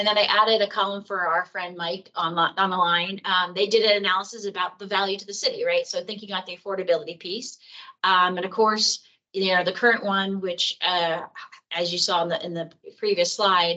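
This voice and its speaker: A woman with an American accent, medium in pitch and bright and sharp in tone, at a fairly quick pace with monotone, flat intonation. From US East Coast. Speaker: city planning staff presenter. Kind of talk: public meeting presentation. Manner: fast; halting, many fillers.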